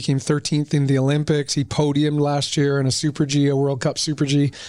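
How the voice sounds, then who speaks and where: Speaking with a Western Canadian accent, a man with a fairly high pitch talks at a very fast pace with very even loudness and hardly any pauses. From Canada, Whistler BC. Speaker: real estate developer executive. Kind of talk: interview. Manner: animated.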